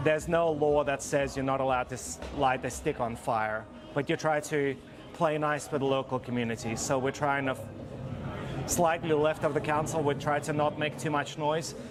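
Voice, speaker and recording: Music plays in the background as a man speaks at a moderate pace. His voice is fairly high, with fairly even intonation. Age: 40s. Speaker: fire performer and community organiser. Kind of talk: interview.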